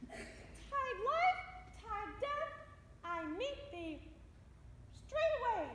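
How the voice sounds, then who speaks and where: This put-on character voice is squeaky and extremely high in pitch, moving at a very slow pace with long, frequent pauses and an audible echo. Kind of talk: comic overacting. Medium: stage play. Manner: shrill, overwrought.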